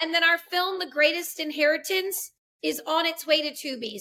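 With an American accent, a woman uses a raised, projected voice and a bright, sharp tone at a moderate pace. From Massachusetts. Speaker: filmmaker. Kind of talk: interview.

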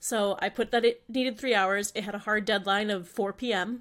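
On a very clean recording with a silent background, a woman talks at medium pitch. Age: 20s. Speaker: podcast co-host. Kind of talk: casual chat about mental health.

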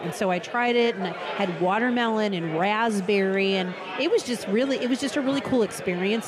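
Over noticeable background noise, a woman speaks fairly quickly at a medium pitch, her tone animated and her pitch variation ordinary. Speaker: shop owner. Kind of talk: casual chat. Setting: restaurant.

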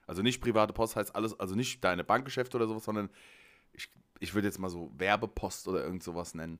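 His voice sits fairly low. The man rattles along at a very fast pace. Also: ordinary pitch variation. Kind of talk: casual chat.

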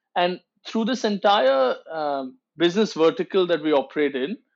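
This man speaks with a high pitch. His intonation is lively. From India, Mumbai. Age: 30s. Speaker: entrepreneur. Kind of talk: interview.

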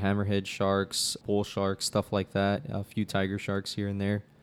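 On a very clean recording with a silent background, a man with an American accent speaks at a moderate pace with a fairly low pitch. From South Texas (Brownsville). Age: 20s. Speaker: fishing guide. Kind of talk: casual chat.

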